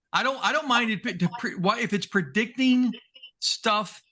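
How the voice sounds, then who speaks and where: Raised and projected, a man's bright, sharp voice moves at a moderate pace with very wide pitch swings. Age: 60s. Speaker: podcast co-host. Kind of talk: casual chat.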